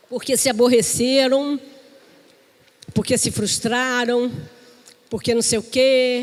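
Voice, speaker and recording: Her high voice moves at a very slow pace with long, frequent pauses and monotone, flat intonation, over noticeable background noise. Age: 60s. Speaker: pastor. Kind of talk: sermon.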